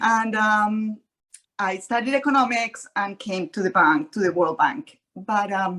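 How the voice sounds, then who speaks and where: A woman with a Colombian accent at a very slow pace with ordinary pitch variation. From Colombia, Cali. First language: Spanish. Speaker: realtor, former economist. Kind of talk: panel webinar introduction. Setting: webinar.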